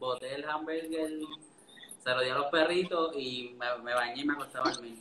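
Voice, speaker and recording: Fairly quick, fairly evenly intoned speech from a man with a Puerto Rican accent, fairly high in pitch, with noticeable background noise. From Puerto Rico, Orocovis. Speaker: food photographer. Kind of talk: casual live-stream interview. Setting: online live stream.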